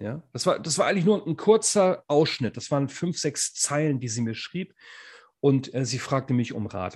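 A man's somewhat breathy, fairly high voice at a moderate pace, with lively intonation over a quiet background. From northern Germany. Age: 40s. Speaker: podcast co-host, former teacher and coach. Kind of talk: casual chat.

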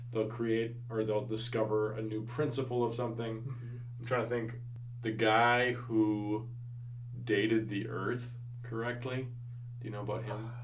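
Over noticeable background noise, the speech moves at a moderate pace in a monotone, flat intonation with long, frequent pauses. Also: man, medium pitch for a man. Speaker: podcast host and high school teacher. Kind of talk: casual interview conversation.

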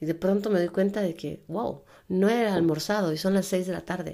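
In a very clean recording with a silent background, a woman speaks at a medium pitch and a moderate pace, her dark, mellow tone showing ordinary pitch variation. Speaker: life coach and podcast host. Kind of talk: solo self-help podcast monologue. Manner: casual, conversational.

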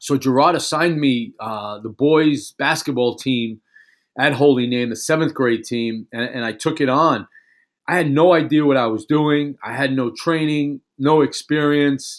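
A man's ordinary speaking voice, fairly high in pitch with ordinary pitch variation, at a fairly slow pace on a very clean recording with a silent background. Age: 50s. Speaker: podcast host and basketball coach. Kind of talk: solo podcast monologue. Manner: casual, conversational.

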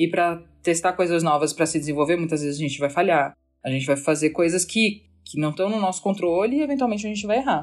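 A woman's fairly low voice at a very fast pace, with lively intonation over a quiet background. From Santa Catarina, Brazil (Florianópolis). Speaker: agile and organizational culture consultant. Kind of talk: casual podcast conversation.

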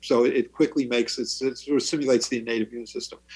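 Speaking with fairly even intonation, a man has an ordinary speaking voice at medium pitch. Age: 60s. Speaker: pediatrician and vaccine expert. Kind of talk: interview.

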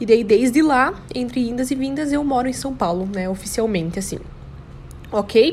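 With an animated tone and a high pitch, a woman talks with long, frequent pauses over noticeable background noise. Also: lively intonation, moderate pace. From Brazil, Santa Catarina (São Bento do Sul). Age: 20s. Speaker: model and podcaster. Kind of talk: casual monologue.

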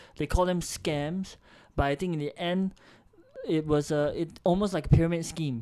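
This man has a high pitch and a dark, mellow tone, with fairly even intonation. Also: moderate pace.

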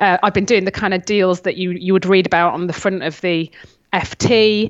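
Over noticeable background noise, a woman speaks at a moderate pace and medium pitch with monotone, flat intonation. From Cheshire, northwest England. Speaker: lawyer and author. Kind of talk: interview chat.

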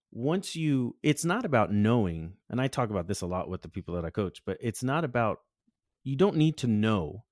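A man speaks in a normal speaking voice with lively intonation at a moderate pace. The recording is very clean and dry, with a silent background and no echo. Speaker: photographer and co-host. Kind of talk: casual chat.

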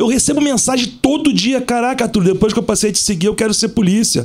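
A man talks at a very fast pace with lively intonation. Noticeable background noise is present. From Rio de Janeiro (Zona Sul). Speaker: police officer and celebrity bodyguard. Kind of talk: casual chat.

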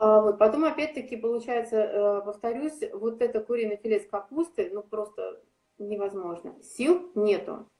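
A woman with a fairly high pitch and a dark, mellow tone speaks at a fairly slow pace with ordinary pitch variation. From Saint Petersburg, Russia. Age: 40s. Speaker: athlete and fitness coach. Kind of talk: interview.

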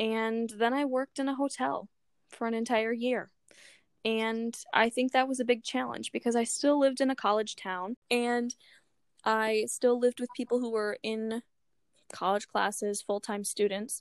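A woman talks at a moderate pace in a normal speaking voice, her pitch fairly high and her intonation fairly even. The sound is dry and close, with no echo. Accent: American. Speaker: podcast co-host. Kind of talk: casual chat.

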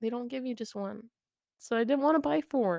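A woman with an American accent speaks in a playful tone, her voice dark and mellow, on a very clean recording with a silent background and a dry, close sound with no echo. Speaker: podcast co-host. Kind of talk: casual banter. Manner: joking, playful.

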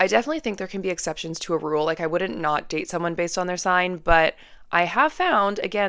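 A woman's fairly low, bright and sharp voice with a Western Canadian accent and ordinary pitch variation, on a very clean recording with a silent background. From Canada, Vancouver. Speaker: podcast host. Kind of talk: casual monologue. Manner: chatty, filler-heavy.

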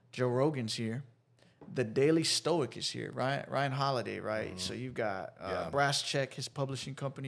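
A man with an American accent talks at a moderate pace and medium pitch, with ordinary pitch variation and a plain, everyday voice. The recording is very clean, with a silent background. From Dallas, Texas. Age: 20s. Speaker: social entrepreneur and podcaster. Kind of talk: casual interview chat. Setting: studio.

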